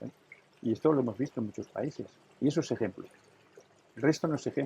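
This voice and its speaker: At a very fast pace, a man with a medium pitch and a dark, mellow tone sounds somewhat breathy, his pitch varying in an ordinary way. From Catalonia, Spain. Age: 70s. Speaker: businessman. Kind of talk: interview. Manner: animated.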